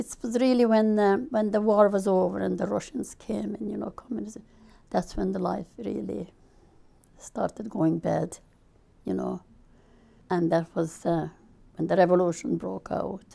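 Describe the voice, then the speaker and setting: With a Hungarian accent, a woman speaks at a moderate pace, leaving long, frequent pauses. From Hungary. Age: 70s. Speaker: refugee interviewee. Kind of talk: interview testimony.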